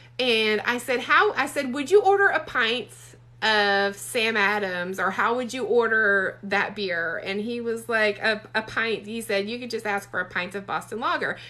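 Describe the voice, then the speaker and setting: A bright, sharp tone in a Southern US accent, with ordinary pitch variation and a moderate pace. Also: woman, fairly high pitch for a woman. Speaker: romance author. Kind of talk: casual livestream chat. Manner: chatty, many fillers.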